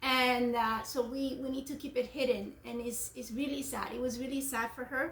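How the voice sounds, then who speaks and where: With hardly any pauses, a woman speaks in a high voice and a flat, monotone delivery. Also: moderate pace. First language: not English. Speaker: homeschooling parent. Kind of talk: book discussion with children.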